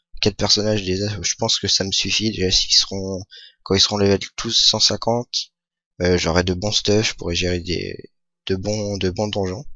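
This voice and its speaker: Speaking at a fairly slow pace, a man uses fairly even intonation at a fairly low pitch. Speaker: gaming youtuber. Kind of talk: gameplay commentary. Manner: hesitant, many fillers. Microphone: new microphone.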